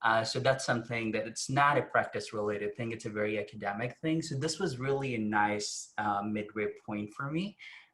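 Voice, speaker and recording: At a fairly quick pace with hardly any pauses, a man talks in a medium pitch with a bright, sharp tone and ordinary pitch variation. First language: not English. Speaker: public health practitioner. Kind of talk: webinar panel discussion.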